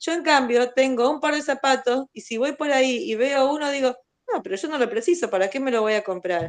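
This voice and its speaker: Against a quiet background, a woman speaks at a fairly quick pace with a high pitch and ordinary pitch variation. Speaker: student. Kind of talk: online class discussion.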